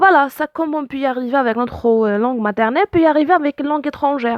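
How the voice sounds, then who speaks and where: With a dry, close sound and no echo, a woman speaks fairly quickly in a high pitch, using ordinary pitch variation. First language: Arabic (speaking French). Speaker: language teacher. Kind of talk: tutorial. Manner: hesitant, many fillers.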